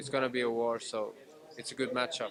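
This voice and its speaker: A man speaks at medium pitch in a monotone, flat intonation. Noticeable background noise runs beneath him. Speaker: mixed martial arts fighter. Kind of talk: media interview. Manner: halting, hesitant.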